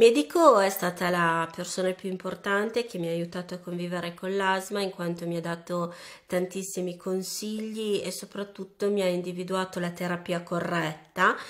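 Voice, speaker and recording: A woman speaks at a medium pitch and moderate pace. Her intonation is flat and monotone. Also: quiet background. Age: 30s. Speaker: asthma patient. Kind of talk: testimony. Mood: earnest, encouraging. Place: home room.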